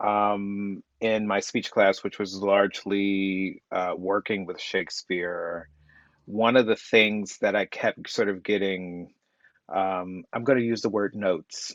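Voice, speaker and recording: Over a quiet background, a man with a slight Southern US accent talks at a very slow pace and a fairly low pitch, his intonation monotone and flat, the sound dry and close with no echo. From US South. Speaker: playwright. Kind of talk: casual chat.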